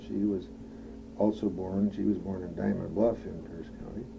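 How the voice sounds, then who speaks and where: Over audible room echo, a man with an Upper Midwest accent talks at a moderate pace in a fairly low pitch with ordinary pitch variation. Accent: Upper Midwest American. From Madison, Wisconsin. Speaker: oral history interviewee. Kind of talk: oral history interview. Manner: halting, many fillers.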